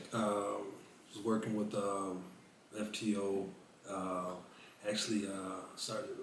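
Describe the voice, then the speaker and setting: Amid noticeable background noise and audible room echo, a man with a fairly low pitch talks at a very slow pace in a flat monotone, leaving long, frequent pauses. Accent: American. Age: 40s. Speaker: retired police officer and navy veteran. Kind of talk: casual interview.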